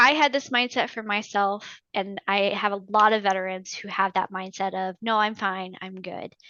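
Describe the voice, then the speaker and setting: Using a normal speaking voice with an American accent, a woman talks at a moderate pace and medium pitch, with hardly any pauses and big swings in loudness. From US South, northern Georgia. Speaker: navy veteran and veterans claims consultant. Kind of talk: interview.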